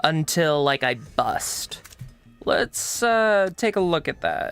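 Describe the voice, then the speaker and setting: With noticeable background noise, a man speaks with an American accent and lively intonation. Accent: switches between two accents, one southern US. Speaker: gaming streamer. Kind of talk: let's play commentary. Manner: casual, rambling with many fillers.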